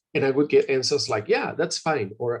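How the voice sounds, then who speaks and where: A man with a Spanish accent talks at a moderate pace, his pitch swinging very widely. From Mexico, Jalisco. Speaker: university representative. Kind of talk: webinar presentation. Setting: video call. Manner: animated.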